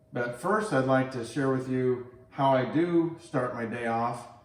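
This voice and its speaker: There's noticeable background noise and audible room echo as a man speaks at a medium pitch with ordinary variation. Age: 60s. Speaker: health and fitness vlogger. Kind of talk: tutorial.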